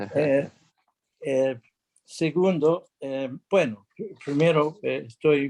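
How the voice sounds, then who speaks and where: At a very slow pace, a man with a fairly high pitch speaks with ordinary pitch variation. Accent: non-native. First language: English (speaking Spanish). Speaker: international arbitrator and lawyer. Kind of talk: conference talk. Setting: video call without video. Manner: halting, many fillers.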